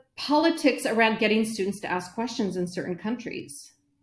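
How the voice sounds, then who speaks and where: A woman speaks at a fairly high pitch with lively intonation. It's a plain, everyday voice at a moderate pace. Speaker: educator, former principal. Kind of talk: interview conversation.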